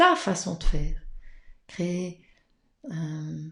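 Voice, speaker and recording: A soft-spoken woman talks at a very slow pace. Her voice is somewhat breathy. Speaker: tarot card reader. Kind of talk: live-streamed card reading. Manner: hesitant, many fillers.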